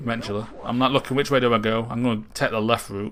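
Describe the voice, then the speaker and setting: With noticeable background noise, a man speaks fairly quickly at a medium pitch. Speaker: gaming commentator. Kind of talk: post-recorded gameplay commentary. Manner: monotone; casual.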